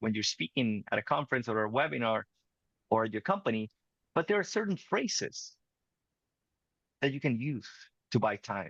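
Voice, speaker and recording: Recorded with a dry, close sound, no echo and a quiet background, a man speaks with a Spanish accent and lively intonation. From Venezuela. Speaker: communication coach. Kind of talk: interview conversation.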